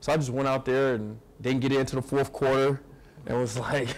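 Fairly quickly, a man delivers his words. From Ohio. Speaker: pro football player. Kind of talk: fan event Q&A. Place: hall. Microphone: lapel.

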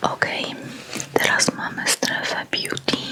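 A woman is whispering at a very slow pace. Noticeable background noise sits behind her. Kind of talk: ASMR store flyer discussion, casual talk. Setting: close microphone, studio. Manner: soft whispered, slow, relaxing.

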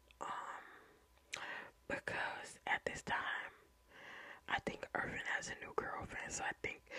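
A woman whispers in an American accent. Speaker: ASMR creator. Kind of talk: ASMR true crime storytelling. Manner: whispered, soft, casual. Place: home room. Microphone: studio mic.

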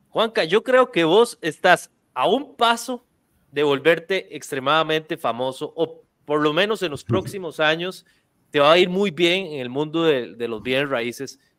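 Over a quiet background, a man speaks at a fairly slow pace. His fairly high pitch has lively intonation. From Costa Rica. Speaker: real estate video marketing podcast host. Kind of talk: casual interview. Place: studio. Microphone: studio mic.

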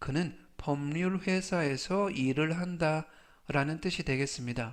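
A man talks fairly slowly in a fairly high pitch, his pitch varying in an ordinary way, with a quiet background. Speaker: English vocabulary teacher. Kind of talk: tutorial. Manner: slow, repeating each word three times; formal.

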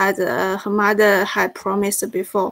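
A woman's monotone, flat intonation accompanies her fairly slow delivery. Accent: Chinese. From China. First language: Chinese. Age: 20s. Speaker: graduate student. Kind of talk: seminar discussion. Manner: halting.

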